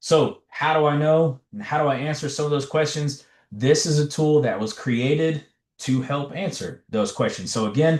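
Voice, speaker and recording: Against a quiet background, a man with an American accent speaks at a moderate pace in a fairly high, somewhat breathy voice. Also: ordinary pitch variation. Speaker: education trainer / presenter. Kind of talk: webinar presentation. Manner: animated.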